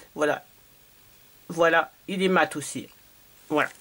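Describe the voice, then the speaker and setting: Through noticeable background noise, a woman talks at a fairly slow pace. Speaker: beauty vlogger. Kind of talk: product haul review. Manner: hesitant, many fillers.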